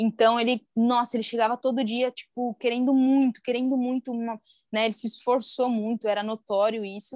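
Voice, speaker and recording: A woman in a normal speaking voice talks at a moderate pace with fairly even intonation and a fairly high pitch, in a dry, close sound with no echo. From Brazil, interior of Paraná. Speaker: physiotherapist and clinic partner. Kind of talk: interview.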